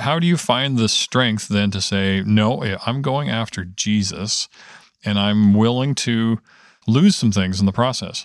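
A man with a Canadian accent and a plain, everyday voice speaks at a fairly slow pace, medium in pitch with ordinary pitch variation. The recording is very clean, with a silent background. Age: 50s. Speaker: prayer ministry director. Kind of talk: casual chat.

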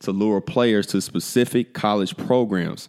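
The recording is very clean with a silent background, carrying an unremarkable speaking voice with ordinary pitch variation. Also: man. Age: 30s. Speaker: basketball podcast host. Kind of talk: solo commentary podcast.

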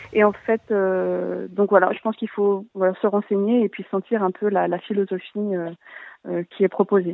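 A woman's medium-pitched voice, fairly slow and flat, in a monotone. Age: 30s. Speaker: naturopath. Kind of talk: call-in explanation.

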